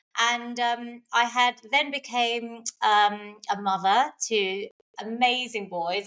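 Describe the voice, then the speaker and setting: With a London accent, a woman talks with ordinary pitch variation. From London, England. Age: 40s. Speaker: personal trainer. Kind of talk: interview conversation. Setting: podcast recording.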